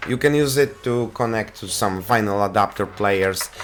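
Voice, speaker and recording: Over noticeable background noise, a man speaks with a Polish accent. His pitch is fairly low and his pace moderate. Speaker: tech reviewer. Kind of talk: product review. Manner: halting.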